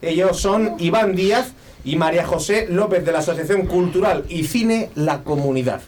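A man speaks at a high pitch and a fairly slow pace in an animated tone, with ordinary pitch variation and very even loudness. Noticeable background noise is present. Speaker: radio host. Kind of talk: casual chat.

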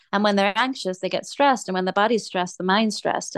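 A woman speaks at a medium pitch over a quiet background. The sound is dry and close, with no echo. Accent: English. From England. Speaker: fitness coach and personal trainer. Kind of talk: casual interview chat.

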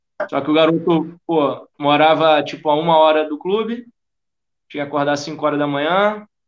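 A man speaks with a Rio de Janeiro accent. His pitch sits fairly high. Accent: carioca. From Rio de Janeiro (Tijuca). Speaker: football fitness coach. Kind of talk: interview. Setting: podcast recording.

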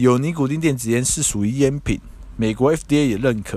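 Speaking at a fairly quick pace with lively intonation, a man uses a normal speaking voice. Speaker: podcast host and harm-reduction advocate. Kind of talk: solo podcast commentary.

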